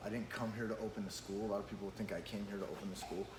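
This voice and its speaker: A medium-pitched male voice over noticeable background noise. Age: 30s. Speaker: podcast host and jiu-jitsu school owner. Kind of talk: casual podcast conversation.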